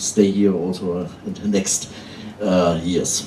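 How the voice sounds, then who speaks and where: A man with a German accent speaks at a fairly slow pace in a very deep, low pitch. Audible room echo surrounds his voice. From Germany. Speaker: outsourcing company founder. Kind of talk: conference panel talk.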